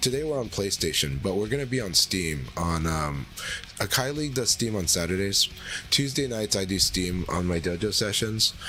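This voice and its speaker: A man's pitch swings very widely as he talks at a moderate pace against noticeable background noise. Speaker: gaming streamer. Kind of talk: live stream commentary. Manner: frequent fillers and repetitions.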